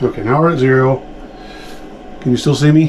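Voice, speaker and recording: Medium-pitched male voice with fairly even intonation over noticeable background noise. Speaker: pipe smoking video creator. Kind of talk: casual video vlog. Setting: at home desk, recording video. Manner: hurried.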